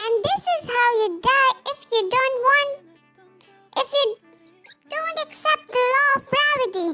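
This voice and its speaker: Putting on a squeaky character voice, a woman speaks at a moderate pace with long, frequent pauses while faint music plays in the background. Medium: read story. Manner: stern, curt.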